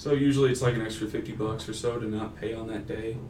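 A man with an American accent, amid audible room echo. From Texas, Denton. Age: 20s. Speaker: university customer service manager and graduate student. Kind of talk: interview. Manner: casual, frequent filler 'um'.

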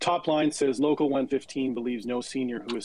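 A man with a plain, everyday voice at medium pitch talks at a fairly quick pace with fairly even intonation. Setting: Twitter Spaces audio call.

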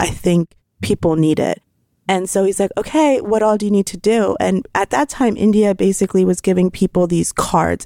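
In a General American accent, a woman with a dark, mellow tone talks at a fairly quick pace with ordinary pitch variation, the sound dry and close with no echo. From Pennsylvania. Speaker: fashion designer and entrepreneur. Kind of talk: interview. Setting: studio.

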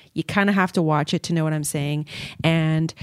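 This woman has an ordinary speaking voice, fairly low in pitch with ordinary pitch variation, recorded with a dry, close sound and no echo. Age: 30s. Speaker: podcast host and YouTuber. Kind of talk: casual chat.

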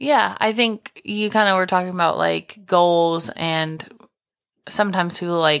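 A woman with a normal speaking voice talks at a fairly slow pace, fairly low in pitch with ordinary pitch variation, in a very clean recording with a silent background. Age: 20s. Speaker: podcast co-host and business owner. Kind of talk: casual chat.

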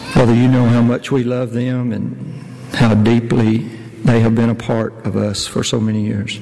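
Over noticeable background noise, a man talks at a medium pitch and moderate pace with a monotone, flat intonation. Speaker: elder leading prayer. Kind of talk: fervent prayer at a funeral-style church service, heartfelt and pleading. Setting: church. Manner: earnest, halting, with repeated words and pauses; solemn, tender, emotional.

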